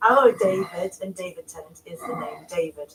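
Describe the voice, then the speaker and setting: The intonation is lively. Noticeable background noise runs underneath. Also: woman. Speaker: dinner party contestant on reality TV. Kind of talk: casual dinner table chat; to-camera interview. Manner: dramatic, theatrical.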